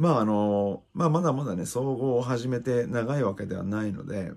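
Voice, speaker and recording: A man's voice at a moderate pace with ordinary pitch variation. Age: 30s. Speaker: MMA fighter and YouTuber; YouTuber. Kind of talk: casual fight commentary monologue. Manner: hesitant with frequent fillers. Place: home room. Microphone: phone near.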